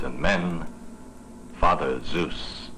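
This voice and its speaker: A man's voice against noticeable background noise. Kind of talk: scholarly commentary.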